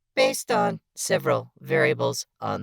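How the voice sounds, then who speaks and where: This put-on character voice sounds robotic and moves at a fairly slow pace. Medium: audio drama. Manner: precise, measured, dry wit.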